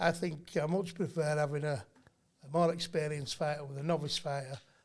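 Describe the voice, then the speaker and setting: Speaking with a Yorkshire accent, a man has a fairly high, somewhat breathy voice, fairly even intonation and a fairly quick pace. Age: 50s. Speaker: boxing trainer. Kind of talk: casual chat.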